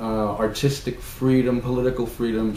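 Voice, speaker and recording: Over noticeable background noise and audible room echo, a man with an American accent and a medium pitch speaks fairly slowly in a monotone, flat way. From New York City, the Bronx. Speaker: novelist. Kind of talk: reading aloud. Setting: at home. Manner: hesitant, many fillers.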